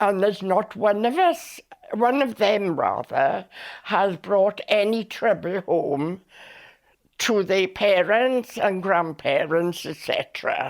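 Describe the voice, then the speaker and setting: A woman with a South Wales accent talks at a medium pitch and a very slow pace. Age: 90s. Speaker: elderly interviewee recounting her life. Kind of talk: oral history interview. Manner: halting with many fillers.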